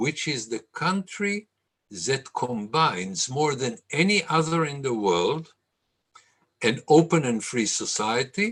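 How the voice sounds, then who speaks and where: A man in an Israeli accent speaks at a very slow pace, his pitch swinging very widely. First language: Hebrew. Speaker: lecturer. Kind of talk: lecture.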